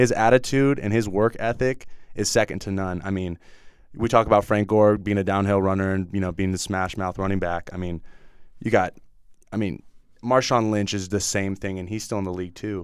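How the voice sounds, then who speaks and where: With an American accent and a normal speaking voice, a man talks at a fairly quick pace in a fairly low pitch and fairly even intonation, on a very clean recording with a silent background. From Northern California. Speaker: college football player. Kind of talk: casual chat. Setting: studio.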